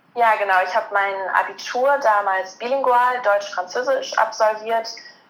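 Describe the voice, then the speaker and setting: With music playing in the background, a woman speaks at medium pitch in fairly even intonation. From Germany, Cologne area. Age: 20s. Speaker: master's student and sports journalist. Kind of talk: interview.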